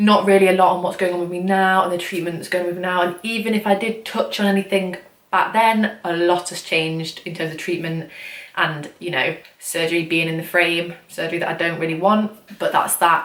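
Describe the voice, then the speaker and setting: Quiet and with an English accent, a woman with a fairly low pitch speaks at a fairly quick pace with fairly even intonation over noticeable background noise. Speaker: vlogger. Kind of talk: casual vlog talk. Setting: at home late at night. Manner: fast.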